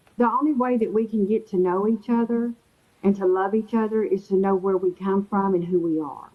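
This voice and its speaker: At a fairly quick pace, a woman talks with a Texan accent and ordinary pitch variation. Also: medium pitch for a woman. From Texas. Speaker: interview guest. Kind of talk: casual chat.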